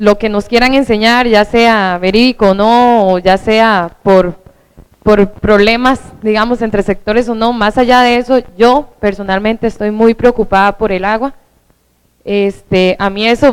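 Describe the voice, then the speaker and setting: Speaking at a fairly slow pace, a woman with a Costa Rican accent has a fairly high pitch and fairly even intonation. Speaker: environmental activist and student. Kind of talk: public forum question. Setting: hall with audience.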